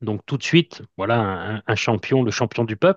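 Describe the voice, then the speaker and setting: Against a quiet background, a man with a fairly low pitch speaks at a very slow pace, the sound dry and close with no echo. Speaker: wrestling fan podcaster. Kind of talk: interview.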